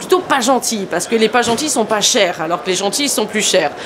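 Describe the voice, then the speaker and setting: Noticeable background noise runs under the recording. A woman speaks at a fairly quick pace. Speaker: skincare trainer and school founder. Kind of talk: educational explainer to beauty professionals. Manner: fast; casual, lively.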